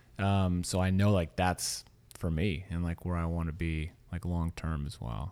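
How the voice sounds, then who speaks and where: The voice has a dark, mellow tone and an American accent, moving at a moderate pace with fairly even intonation. It is a very clean recording with a silent background. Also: man, very deep, low pitch for a man. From US South, Louisiana. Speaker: podcast host. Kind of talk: interview; scripted narration.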